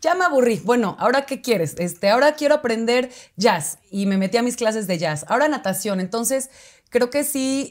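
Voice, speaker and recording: Her intonation is lively as this woman speaks at a moderate pace over a quiet background. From Mexico, Oaxaca city. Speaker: actress. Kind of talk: casual interview chat. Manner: halting, many fillers. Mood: cheerful, animated. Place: studio. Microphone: lapel.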